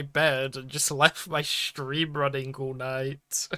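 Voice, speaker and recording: The man has an American accent and a bright, sharp tone. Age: 20s. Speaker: vtuber streamer. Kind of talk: casual live stream chat. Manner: casual, rambling with fillers.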